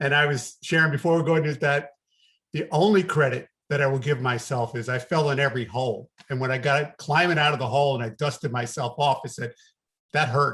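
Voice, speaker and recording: This man has a slight New York accent and a fairly high pitch. He talks at a fairly quick pace with ordinary pitch variation. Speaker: business coach. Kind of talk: podcast interview.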